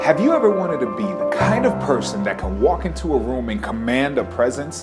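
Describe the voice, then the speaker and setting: A man talks at a fairly quick pace. Loud music plays behind him. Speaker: video review host. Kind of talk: upbeat promotional business review to camera. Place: hall. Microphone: lapel.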